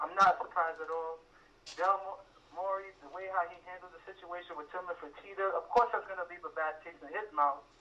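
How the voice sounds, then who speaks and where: Over noticeable background noise, a man with a New York accent speaks at a high pitch for a man. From Brooklyn, New York. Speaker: radio caller. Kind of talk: call-in sports opinion. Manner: animated, repetitive restarts.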